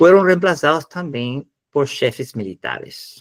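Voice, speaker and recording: With lively intonation, a man speaks at a fairly slow pace in a dry, close sound with no echo. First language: Spanish (speaking Portuguese). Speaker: professor. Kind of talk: lecture. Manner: halting.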